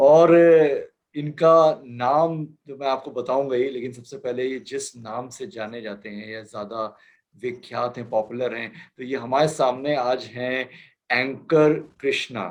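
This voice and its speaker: A man's normal speaking voice at a medium pitch, with ordinary pitch variation and big swings in loudness. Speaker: talk show host interviewing guests. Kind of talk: interview host introduction.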